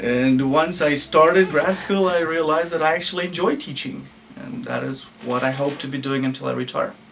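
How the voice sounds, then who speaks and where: With a Russian accent, a man speaks at a fairly quick pace in a fairly high pitch, with ordinary pitch variation, audible room echo and noticeable background noise. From Ukraine. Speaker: university language professor. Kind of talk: interview.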